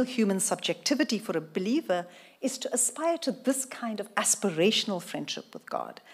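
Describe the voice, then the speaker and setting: A woman speaks with lively intonation and a fairly high pitch. Her voice is somewhat breathy. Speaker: professor. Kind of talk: lecture. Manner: fast.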